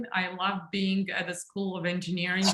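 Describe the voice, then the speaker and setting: A woman speaks with a Serbian accent. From Serbia, Belgrade. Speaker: engineering school dean. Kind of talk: panel discussion.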